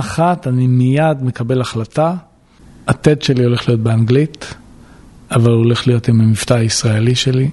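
A man speaks with a strong Israeli accent in a dark, mellow tone that is somewhat breathy. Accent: heavy Israeli accent in English. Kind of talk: storytelling interview.

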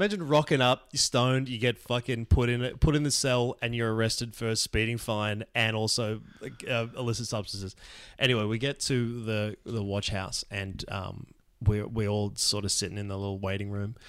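Speaking with an Australian accent, a man uses a medium pitch and fairly even intonation. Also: moderate pace, very clean recording, silent background. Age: 40s. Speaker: comedian. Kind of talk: storytelling. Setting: recording at a friend's house.

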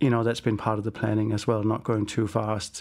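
In a Danish accent, a man speaks with monotone, flat intonation. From Denmark. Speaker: business founder. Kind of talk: interview. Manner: halting.

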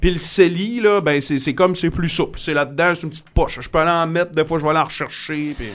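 Talking at a very fast pace with hardly any pauses, a man with a high pitch keeps his intonation fairly even while his loudness swings widely. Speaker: radio host and podcast host. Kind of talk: casual interview. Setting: studio.

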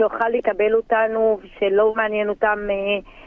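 A woman speaks at a fairly slow pace in a medium-pitched voice. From Druze village on Mount Carmel, northern Israel. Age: 40s. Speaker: interviewee, local hero. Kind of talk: interview testimony.

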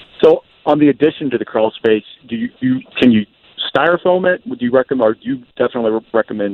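An unremarkable speaking voice from a man, fairly quick in pace with lively intonation. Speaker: caller. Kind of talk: call-in question. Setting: phone call.

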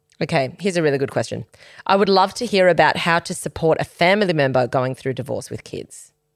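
On a very clean recording with a silent background and a dry, close sound with no echo, a woman with an Australian accent speaks in an animated tone at a very fast pace and a fairly low pitch. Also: lively intonation. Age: 30s. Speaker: podcast host. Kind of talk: casual chat.

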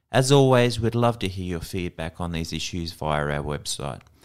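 On a very clean recording with total background silence, a man speaks in an Australian accent. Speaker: education news presenter. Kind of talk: scripted news reading. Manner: formal, measured.

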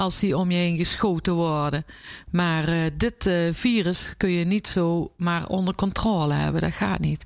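Her voice an unremarkable speaking voice, a woman speaks at a fairly slow pace and fairly low pitch, with ordinary pitch variation and very even loudness, in a very clean recording with a silent background. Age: 50s. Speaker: chef and restaurant owner. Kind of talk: interview.

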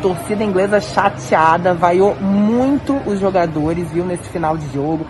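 There is audible room echo and noticeable background noise. A woman talks with ordinary pitch variation. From Brazil. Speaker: sports reporter. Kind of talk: field report. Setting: empty stadium after match.

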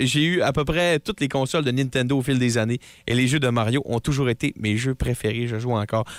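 In a very clean recording with a silent background and a dry, close sound with no echo, a man with a Quebec accent talks at a fairly quick pace, with very even loudness and ordinary pitch variation. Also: medium pitch for a man. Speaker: radio co-host. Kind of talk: casual radio banter. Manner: halting, hesitant.

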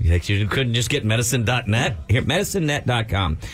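Noticeable background noise sits under a man talking at a fairly quick pace with very wide pitch swings. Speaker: radio show co-host. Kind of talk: casual morning radio banter. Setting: studio.

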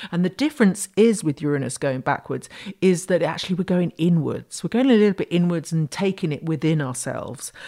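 In a British accent, a woman speaks at a fairly quick pace with a fairly low pitch. Her tone is dark and mellow, and her intonation is lively. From Britain. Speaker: astrology podcast host. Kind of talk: solo podcast talk.

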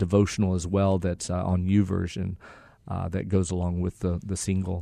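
A man speaks with an American accent in a very deep, low pitch. His tone is dark and mellow, and the background is quiet. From Mexico and Texas. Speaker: ministry leader. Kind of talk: interview. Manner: halting.

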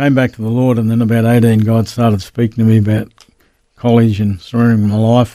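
In an Australian accent, a man speaks with a dark, mellow tone and monotone, flat intonation. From Queensland, Australia. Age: 70s. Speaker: pastor. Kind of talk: interview, personal testimony. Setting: radio studio.

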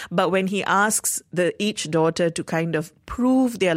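In a very clean recording with a silent background, a woman with an ordinary speaking voice talks at medium pitch and a moderate pace, her intonation lively. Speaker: radio host. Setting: radio studio. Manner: brisk, upbeat and smooth, with a practiced radio cadence.

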